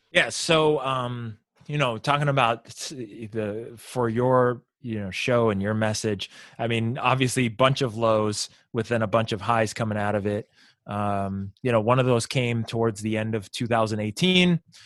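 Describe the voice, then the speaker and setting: A man speaks at a fairly slow pace in an unremarkable speaking voice, with medium pitch, ordinary pitch variation and a quiet background. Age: 40s. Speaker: sales consultant. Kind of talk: casual chat.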